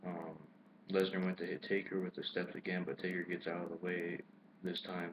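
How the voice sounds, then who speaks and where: A man talks at a fairly quick pace in a very deep, low voice. His intonation is monotone and flat. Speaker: wrestling YouTuber. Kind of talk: casual video commentary recap. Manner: halting, stumbling over words.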